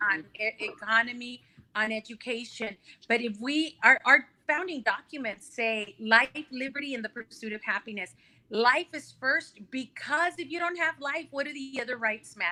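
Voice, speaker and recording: A woman speaks at a moderate pace in a high, bright, sharp voice. Her intonation is lively, and her loudness swings widely. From El Paso, Texas (Mexican-born). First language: Spanish. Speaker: congressional candidate. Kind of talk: interview.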